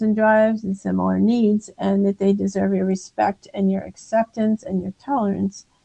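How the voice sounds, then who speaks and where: A woman with an American accent speaks in a dark, mellow tone, with a dry, close sound and no echo. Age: 60s. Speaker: optometrist and author. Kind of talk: interview conversation. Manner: halting.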